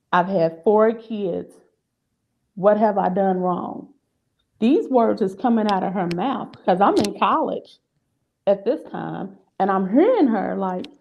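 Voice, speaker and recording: Marked by vocal fry and ordinary pitch variation, the speech comes with long, frequent pauses. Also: woman, medium pitch for a woman. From Louisville, Kentucky. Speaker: domestic violence story guest. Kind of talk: personal testimony.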